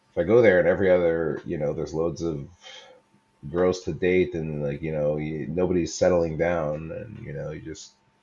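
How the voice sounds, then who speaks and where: A man with an American accent speaks at a moderate pace in a very deep, low pitch with a dark, mellow tone. His intonation is fairly even, but his loudness swings widely. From New York City, Lower East Side. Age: 30s. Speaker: single man, podcast guest. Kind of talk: casual interview. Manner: halting.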